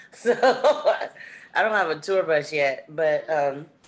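A woman talks in a very deep, low pitch. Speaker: guest. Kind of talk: casual talk on an online gathering. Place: home room. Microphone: video call.

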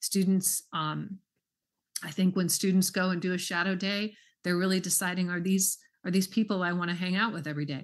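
Over a quiet background, a woman talks at a fairly quick pace in a monotone, flat intonation. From Southern California. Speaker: school superintendent. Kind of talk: public meeting discussion; meeting discussion. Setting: video call. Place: home room. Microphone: video call.

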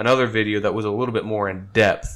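In a plain, everyday voice, a man talks at a moderate pace with a fairly low pitch and fairly even intonation over a quiet background. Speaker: podcast host. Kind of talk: casual podcast talk. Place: home room. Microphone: studio mic.

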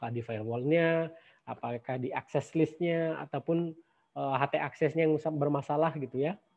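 Fairly high-pitched male voice, its pitch varying in an ordinary way. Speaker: university lecturer. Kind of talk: lecture. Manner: casual with many fillers.

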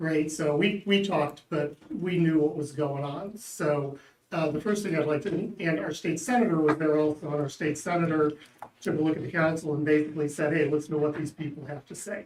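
An ordinary speaking voice moves at a fairly quick pace, its intonation fairly even. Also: man, fairly high pitch for a man. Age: 60s. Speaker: local resident, public commenter. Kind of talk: public comment at board meeting. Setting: public board meeting hearing.

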